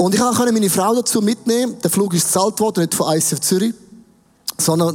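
A man's animated, very fast speech with a Swiss accent and ordinary pitch variation, over noticeable background noise. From Switzerland. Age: 50s. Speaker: pastor. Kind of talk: sermon.

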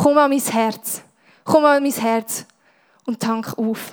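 A woman talks with a Swiss accent. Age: 20s. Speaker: youth church speaker. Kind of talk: sermon.

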